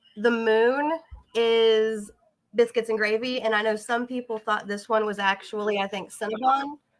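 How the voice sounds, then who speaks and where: A woman speaks with an American accent and fairly even intonation. She has a normal speaking voice. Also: fairly high pitch for a woman, moderate pace. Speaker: tarot deck artist. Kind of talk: casual chat. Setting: live stream video call.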